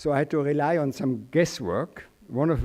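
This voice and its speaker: With a Swiss accent, a man speaks in a fairly high pitch with a dark, mellow tone. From Switzerland. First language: German. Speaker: journalist and former diplomat, guest speaker. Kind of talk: commencement speech. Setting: stage with audience.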